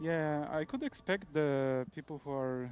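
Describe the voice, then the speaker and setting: A man is speaking. He has a Polish accent. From Poland. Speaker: professional esports player. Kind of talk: casual chat.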